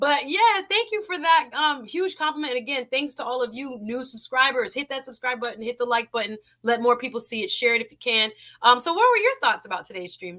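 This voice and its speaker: A woman with an American accent speaks in a raised, projected voice at a high pitch and a fairly quick pace, her tone bright, sharp and animated. Her intonation is lively and her loudness swings widely. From South Florida. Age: 40s. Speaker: live stream talk show host. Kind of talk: live stream call-in chat.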